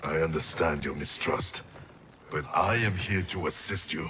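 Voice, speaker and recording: A man performs a cartoonish character voice. His pitch sits very deep and low. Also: moderate pace. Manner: slow, solemn.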